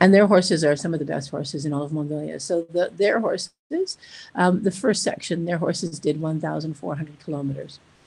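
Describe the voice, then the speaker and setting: A woman speaks at a very deep, low pitch with a dark, mellow tone. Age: 60s. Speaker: charity founder and expedition rider. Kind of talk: casual interview.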